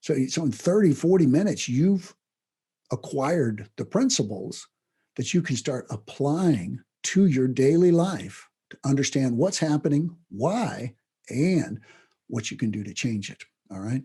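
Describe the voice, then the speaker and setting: Somewhat breathy and dark, mellow in tone, a man's voice swings widely in both loudness and pitch. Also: fairly high pitch for a man, fairly slow pace, very clean recording, silent background. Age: 60s. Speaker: self-improvement teacher. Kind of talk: lecture. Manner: halting, frequent restarts; casual, conversational.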